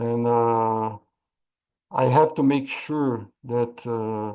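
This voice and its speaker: A man's dark, mellow tone at medium pitch, with ordinary pitch variation and a quiet background. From Brazil. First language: Portuguese. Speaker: AI risk management expert and trainer. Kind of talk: webinar Q&A. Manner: halting, many repetitions.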